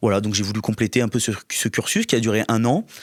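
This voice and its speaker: At a fairly quick pace, a man with fairly low pitch talks in a dry, close sound with no echo. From southern France, Var. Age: 30s. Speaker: local political candidate. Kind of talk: interview. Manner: halting, many repetitions and fillers.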